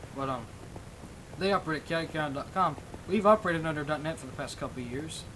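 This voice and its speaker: Fairly high male voice at a very fast pace, with long, frequent pauses, ordinary pitch variation and noticeable background noise. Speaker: livestreamer and game server owner. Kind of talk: casual livestream chat. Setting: livestream with voice chat. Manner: rambling, hesitant with many fillers.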